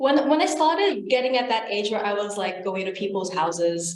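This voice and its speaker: A woman talks with lively intonation at a moderate pace, her voice carrying audible room echo. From Philippines. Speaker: international student. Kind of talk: casual interview chat.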